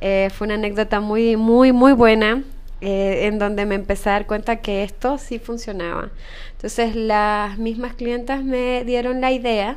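A woman talks fairly slowly at a fairly high pitch. Her intonation is fairly even, and room echo is audible. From Ecuador. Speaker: entrepreneur, spa business founder. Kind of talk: interview.

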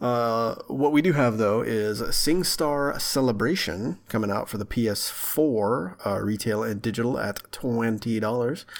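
A man with an American accent speaks at a medium pitch over noticeable background noise. His pace is fairly slow, with hardly any pauses and ordinary pitch variation. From Texarkana area, Texas/Arkansas border. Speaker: video game podcast co-host. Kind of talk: casual chat. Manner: animated.

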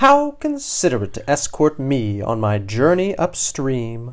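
A woman's put-on character voice, extremely low in pitch, fairly slow, with very wide pitch swings

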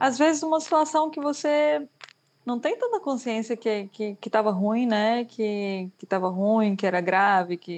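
A woman with an ordinary speaking voice talks at a fairly high pitch, with lively intonation and big swings in loudness. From Brazil. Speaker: graphic designer. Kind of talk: casual chat.

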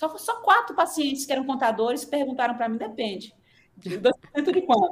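Her voice sits high in pitch. The woman keeps to a moderate pace. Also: lively intonation. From Northeast Brazil (Sergipe/Alagoas). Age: 40s. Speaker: physician, nutrition specialist. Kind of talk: casual interview.

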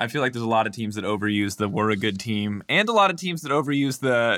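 A man with a medium pitch talks at a very fast pace with ordinary pitch variation. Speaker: esports podcast host. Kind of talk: casual chat.

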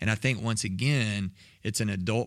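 Here a man's pitch is fairly low, with ordinary variation. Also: very clean recording, silent background. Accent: Texan. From Texas, south of Waco. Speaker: next-gen ministry director. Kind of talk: casual chat.

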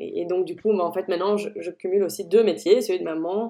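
A woman's dark, mellow voice at medium pitch, moving at a fairly quick pace. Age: 30s. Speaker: food blogger and culinary photographer. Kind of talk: interview. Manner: animated.

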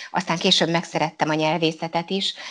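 A woman's fairly low voice in a monotone, flat intonation, against a quiet background. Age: 50s. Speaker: local councillor and teacher. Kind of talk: interview.

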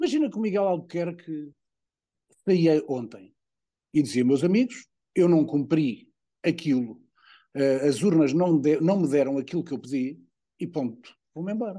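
A man's fairly high, dark and mellow voice with lively intonation, a moderate pace and long, frequent pauses over a quiet background. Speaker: political commentator. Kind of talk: casual chat.

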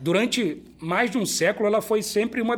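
A man with a high-pitched voice talks at a moderate speed. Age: 40s. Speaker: company director and business school professor. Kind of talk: casual business interview. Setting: brewery.

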